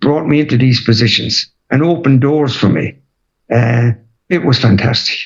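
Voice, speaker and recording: Spoken in a Waterford accent, the voice holds a very even loudness throughout. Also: man, medium pitch for a man, ordinary pitch variation, moderate pace. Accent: Irish, Waterford. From Ireland, Waterford. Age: 80s+. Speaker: retired footballer and manager. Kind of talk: interview.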